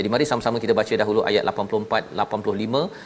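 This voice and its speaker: Fairly low male voice with a Malaysian accent. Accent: Malaysian Malay. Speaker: religious TV host. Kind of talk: religious talk show. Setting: studio. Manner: formal.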